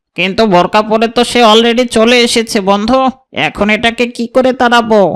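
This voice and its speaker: A man puts on a cartoonish character voice at an extremely high pitch, with fairly even intonation and a moderate pace. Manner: smooth, wheedling.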